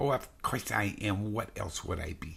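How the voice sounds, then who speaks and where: A man's put-on character voice, fairly low in pitch and at a moderate pace. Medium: read story.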